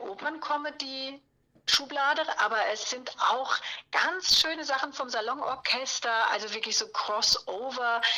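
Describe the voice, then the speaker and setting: The speaker talks at a fairly slow pace with ordinary pitch variation. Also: woman. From southern Palatinate, Germany. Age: 50s. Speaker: cabaret singer and presenter. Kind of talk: interview.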